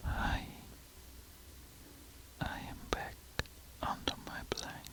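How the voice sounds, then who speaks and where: A man whispers at a very slow pace in a calm tone. Background noise is noticeable. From Switzerland. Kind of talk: ASMR sleep whisper, casual educational talk. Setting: close binaural microphone, under a blanket. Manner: whispered, soft-spoken, calm, slow.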